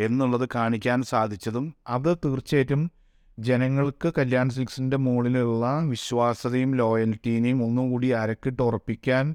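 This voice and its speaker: The recording is very clean, with a silent background. A man speaks in a monotone, flat intonation at very even loudness. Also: medium pitch for a man. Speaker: textile retail company director. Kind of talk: radio interview.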